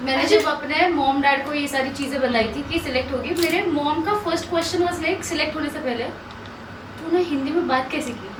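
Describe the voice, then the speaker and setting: A woman with a Marathi accent talks in a high-pitched voice with hardly any pauses. Audible room echo and noticeable background noise surround her. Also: ordinary pitch variation, moderate pace. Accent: Marathi-accented Hindi. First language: Marathi (speaking Hindi). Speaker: reality show contestant. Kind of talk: casual chat.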